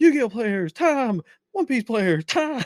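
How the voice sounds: A man uses a put-on character voice at an extremely high pitch. He goes at a fairly slow pace on a very clean recording with a silent background.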